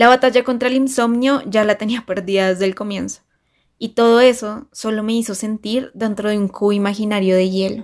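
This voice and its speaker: A woman speaks at a fairly quick pace in a normal speaking voice. Her pitch is fairly high, and her intonation stays fairly even. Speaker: journalist. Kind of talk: personal essay read aloud.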